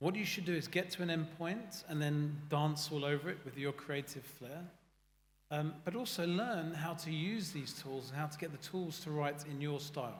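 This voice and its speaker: A man with a British accent talks at a moderate pace in a fairly high, somewhat breathy voice, with audible room echo. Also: ordinary pitch variation. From UK. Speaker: AI consulting founder. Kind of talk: panel discussion. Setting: stage with audience. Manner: animated.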